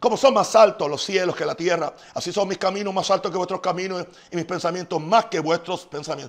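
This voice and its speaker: A man's high voice, animated in tone, at a fairly quick pace. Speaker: pastor. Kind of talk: sermon. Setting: live stream from home. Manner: fast.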